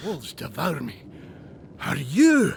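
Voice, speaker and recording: A raspy, put-on character voice sits at a middle pitch. Background noise is clearly audible. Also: moderate pace. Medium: video game.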